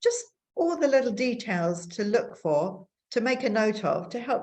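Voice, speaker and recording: Fairly slow speech from a woman, her voice somewhat breathy. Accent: English. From England. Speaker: bird photographer and conservation volunteer. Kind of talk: online presentation talk.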